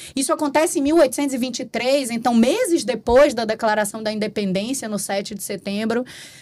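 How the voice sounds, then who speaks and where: Over noticeable background noise, a woman with a Bahian accent speaks fairly quickly in a high voice with lively intonation. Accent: Bahian Brazilian Portuguese. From Bahia, Brazil. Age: 40s. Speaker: compliance consultant. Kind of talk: interview conversation.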